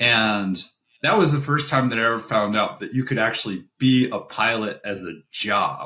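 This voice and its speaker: With an American accent, the speaker has a bright, sharp tone, ordinary pitch variation, and a moderate pace. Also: man, medium pitch for a man. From US South. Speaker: airline pilot. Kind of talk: casual chat.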